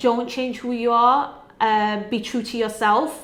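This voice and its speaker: In a northern English accent, a woman speaks with a fairly high pitch and monotone, flat intonation. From northern England, Sheffield. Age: 20s. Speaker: PR and communications professional. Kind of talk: award nominee video testimony.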